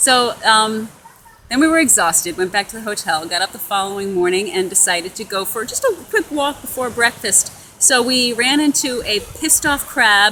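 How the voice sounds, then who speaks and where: A woman's lively intonation carries through noticeable background noise as she talks at a moderate pace. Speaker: honeymooning vlogger. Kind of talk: casual chat. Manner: halting.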